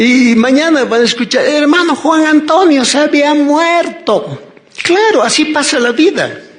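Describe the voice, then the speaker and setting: Extremely high-pitched male voice at a fairly slow pace with very even loudness, plus audible room echo and noticeable background noise. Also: ordinary pitch variation. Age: 60s. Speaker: preacher. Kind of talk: sermon.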